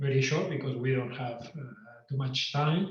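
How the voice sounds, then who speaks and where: Somewhat breathy speech with fairly even intonation and audible room echo. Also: man. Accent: Spanish. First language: Spanish. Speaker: guitar teacher and composer. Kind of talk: online lecture. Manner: halting.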